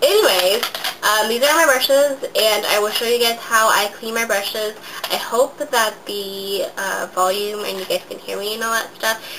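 Bright, sharp tone at a moderate pace, ordinary pitch variation, and faint background noise. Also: woman, medium pitch for a woman.

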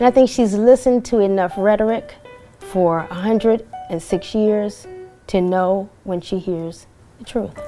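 Faint music sits behind a woman speaking at a fairly slow pace with ordinary pitch variation. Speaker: granddaughter of the subject. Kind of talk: interview answer. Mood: proud, warm, earnest. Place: home room.

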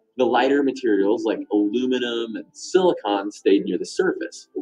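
A man talks at a moderate pace with faint music playing in the background. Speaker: science show host. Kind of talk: educational explainer. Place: studio.

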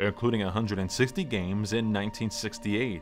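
A man is speaking. Music plays in the background. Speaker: stadium public address announcer. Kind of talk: guided sleep meditation narration. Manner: calm, soothing.

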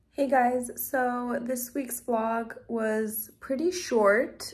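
The pace is very slow. The woman's pitch shifts in an ordinary way. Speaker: dental student vlogger. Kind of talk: casual vlog chat. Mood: relaxed, slightly flustered. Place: home room. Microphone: phone near.

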